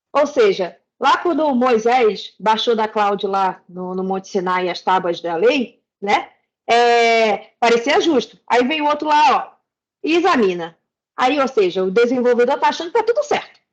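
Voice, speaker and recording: Speaking at a fairly slow pace, a woman with a Rio de Janeiro accent uses a high voice that swings very widely in pitch. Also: quiet background. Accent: carioca accent, noticeable. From Rio de Janeiro, Brazil. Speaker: back-end developer, speaker. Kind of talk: tech talk presentation.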